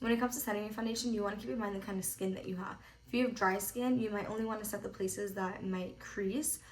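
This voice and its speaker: A woman with a medium pitch and ordinary pitch variation talks very fast amid audible room echo. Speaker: makeup artist. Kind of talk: tutorial. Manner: casual, filler-heavy.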